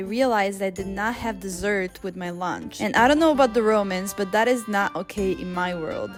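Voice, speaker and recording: A woman's medium-pitched voice at a fairly quick pace, with ordinary pitch variation, hardly any pauses, and music in the background. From Northern Italy (Veneto). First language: Italian. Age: 20s. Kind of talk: casual vlog narration.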